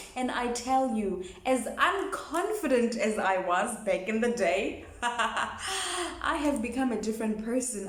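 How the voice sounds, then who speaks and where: A woman with a fairly high pitch at a fairly slow pace, with audible room echo and noticeable background noise. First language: a South African language other than English. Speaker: YouTuber. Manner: halting.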